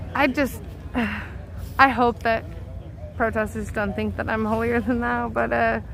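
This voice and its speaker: The speech moves at a fairly slow pace with long, frequent pauses and audible room echo. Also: woman. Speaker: protest livestreamer. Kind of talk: live street commentary. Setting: outdoors at night protest. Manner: loud.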